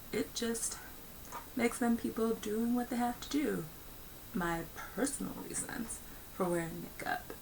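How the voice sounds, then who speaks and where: With an American accent, a woman speaks over noticeable background noise and audible room echo. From United States. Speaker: video blogger. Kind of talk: personal commentary monologue. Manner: filler-heavy, with frequent ums and uhs.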